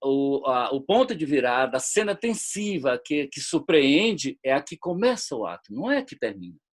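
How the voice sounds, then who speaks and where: A man with a fairly high pitch speaks at a moderate pace with hardly any pauses, very wide pitch swings and big swings in loudness. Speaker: screenwriter and lecturer. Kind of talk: online lecture. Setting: webinar video call. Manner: halting, many repetitions.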